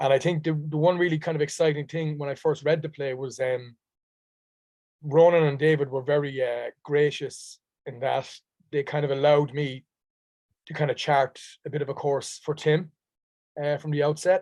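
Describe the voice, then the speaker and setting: A man with a Dublin accent speaks at a moderate pace in a fairly high pitch, his intonation monotone and flat, broken by long, frequent pauses. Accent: Dublin Irish. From Ireland, Dublin. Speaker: stage actor. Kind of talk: interview conversation.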